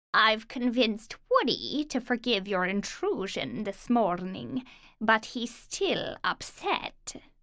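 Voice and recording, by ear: A put-on character voice, female-sounding, delivered at a fairly slow pace. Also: fairly high pitch for a woman.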